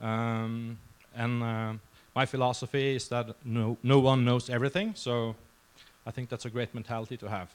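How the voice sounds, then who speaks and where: Speaking at a moderate pace, a man with a Norwegian accent keeps a medium pitch and fairly even intonation. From Norway. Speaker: security researcher. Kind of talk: conference talk. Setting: stage with audience. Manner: halting, many fillers.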